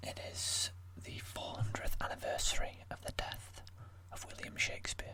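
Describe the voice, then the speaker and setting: A soft-spoken, whispering man at a fairly slow pace with noticeable background noise. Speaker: amateur ASMR creator. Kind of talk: casual talk to camera. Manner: whispered, soft-spoken.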